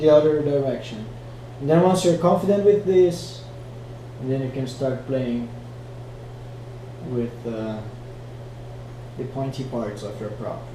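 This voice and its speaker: Lively intonation and big swings in loudness mark this fairly slow speaker with a non-native accent, who takes long, frequent pauses amid noticeable background noise and audible room echo. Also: man, medium pitch for a man. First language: not English. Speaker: flow arts hobbyist teaching tricks. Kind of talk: tutorial. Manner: casual, hesitant with fillers. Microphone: poor quality mic.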